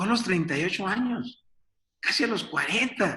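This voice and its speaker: Lively intonation marks this man's speech. His pace is fairly slow. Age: 60s. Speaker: business coach and speaker. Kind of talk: webinar presentation. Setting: online webinar.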